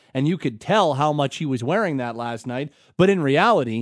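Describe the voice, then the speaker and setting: A man with a Canadian accent and an unremarkable speaking voice talks at a fairly quick pace, with a medium pitch and lively intonation. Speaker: sports radio host. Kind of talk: sports talk radio. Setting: studio.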